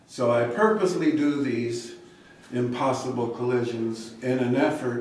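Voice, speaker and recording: Speaking at a very slow pace with fairly even intonation, the voice carries audible room echo over noticeable background noise. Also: man. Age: 70s. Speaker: artist. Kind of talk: artist talk. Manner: halting, many fillers.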